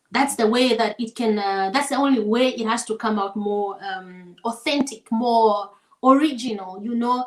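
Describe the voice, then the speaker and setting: A woman speaks in an African accent at a fairly high pitch. Her intonation stays fairly even. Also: moderate pace. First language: African vernacular language. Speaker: singer. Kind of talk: casual interview chat. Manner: hesitant, many fillers.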